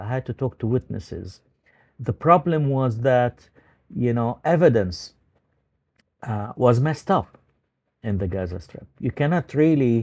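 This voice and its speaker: A man of medium pitch speaks with an Arabic accent. The background is quiet, and the sound is dry and close with no echo. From Palestine, Ramallah. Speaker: journalist. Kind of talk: interview. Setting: video call. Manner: hesitant, many fillers.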